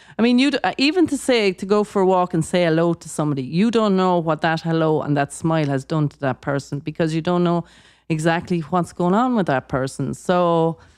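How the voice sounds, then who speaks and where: A woman with an Irish accent speaks at a fairly quick pace with hardly any pauses, her fairly low pitch carrying lively intonation, captured as a dry, close sound with no echo on a very clean recording with a silent background. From Ireland. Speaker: guest on a wellness podcast. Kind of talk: casual chat. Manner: halting, many repeated words.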